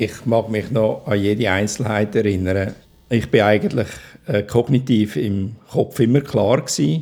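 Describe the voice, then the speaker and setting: A man speaks in a dark, mellow tone at a fairly low pitch. His pace is fairly slow and his pitch varies in an ordinary way. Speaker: stroke survivor. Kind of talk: testimony. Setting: at home.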